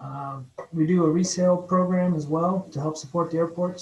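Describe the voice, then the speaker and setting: A man speaks at a moderate pace with an American accent. His voice is somewhat breathy. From Ohio. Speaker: airport bureau chief, former airline pilot. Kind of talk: meeting presentation.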